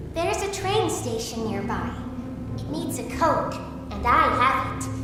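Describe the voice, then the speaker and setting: A put-on character voice that sounds female comes at a moderate pace through strong echo and loud background noise. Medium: machinima.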